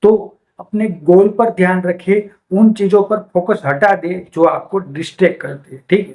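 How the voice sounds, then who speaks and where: Here a man speaks with a high pitch. His intonation stays fairly even. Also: big swings in loudness. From India, Gujarat (Bhavnagar district). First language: Gujarati (speaking Hindi). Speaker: book summary YouTuber. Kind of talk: book summary talk to camera. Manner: casual, frequent fillers and self-corrections.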